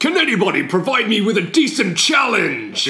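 A man puts on a character voice, high-pitched and raised, projected. He keeps a moderate pace. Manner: menacing, boastful.

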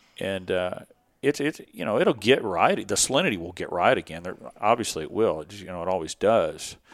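Fairly low in pitch, a man with a Texas accent talks at a fairly quick pace with lively intonation. His loudness swings widely on a very clean recording with a silent background. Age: 40s. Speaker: fishing guide. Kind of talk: casual chat. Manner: halting.

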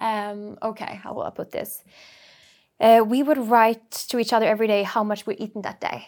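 On a very clean recording with a silent background, a woman speaks at a fairly high pitch and a moderate pace with monotone, flat intonation. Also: big swings in loudness. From Norway, Bergen. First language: Norwegian. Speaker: entrepreneur. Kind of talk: interview.

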